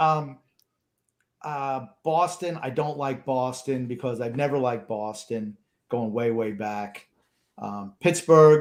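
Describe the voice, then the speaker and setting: In a very clean recording with a silent background, a man with a Long Island accent talks at a medium pitch with ordinary pitch variation. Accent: Long Island New York. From Long Island, Suffolk County, New York. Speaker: sports podcast co-host. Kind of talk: casual chat.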